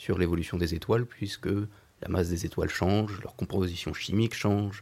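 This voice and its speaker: With a fairly low pitch, a man speaks in a dark, mellow tone. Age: young. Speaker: astrophysicist, postdoctoral researcher. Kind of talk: radio interview.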